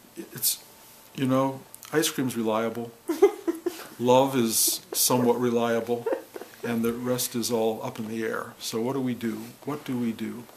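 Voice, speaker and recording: A man's fairly slow, monotone delivery with flat intonation, long and frequent pauses, and light background noise. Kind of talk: reflective spiritual monologue. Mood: calm, wry, humorous. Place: home room.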